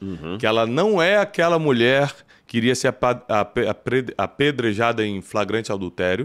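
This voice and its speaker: Against a quiet background, the speaker keeps a moderate pace broken by long, frequent pauses. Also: man. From Rio de Janeiro, Brazil. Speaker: podcast host. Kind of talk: podcast interview. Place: studio. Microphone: studio mic.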